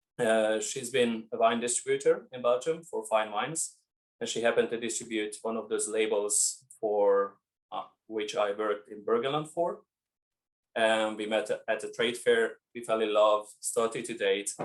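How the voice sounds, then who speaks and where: A man with a Hungarian accent at a moderate pace. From Hungary. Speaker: winemaker. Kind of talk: interview.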